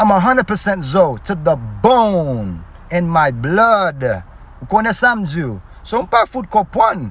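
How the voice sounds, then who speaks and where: A man's high-pitched, animated voice at a fairly slow pace, with very wide pitch swings. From Haiti. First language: Haitian Creole. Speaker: social media creator. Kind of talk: casual direct-to-camera video.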